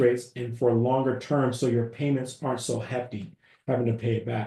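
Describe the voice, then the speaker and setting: A man talks at a fairly quick pace in a medium-pitched, somewhat breathy voice. His tone is dark and mellow, and his intonation is monotone and flat. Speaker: business credit educator. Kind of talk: webinar presentation. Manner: fast.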